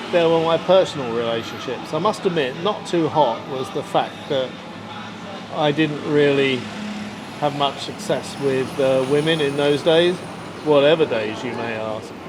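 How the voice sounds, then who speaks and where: Speaking with an English accent and a fairly high pitch, a man goes at a fairly slow pace with ordinary pitch variation. Audible room echo and noticeable background noise are present. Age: 70s. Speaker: vlogger. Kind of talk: casual monologue vlog. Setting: sitting at a bar. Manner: hesitant, many fillers.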